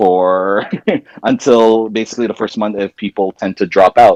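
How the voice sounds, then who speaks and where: A man speaks at a fairly low pitch. The sound is dry and close, with no echo. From Ontario, Canada. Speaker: podcast co-host. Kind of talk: casual chat. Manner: loud.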